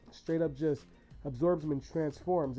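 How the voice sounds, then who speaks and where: Music plays in the background as a man speaks at a fairly high pitch. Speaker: YouTuber and podcaster. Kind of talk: list commentary video. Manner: animated.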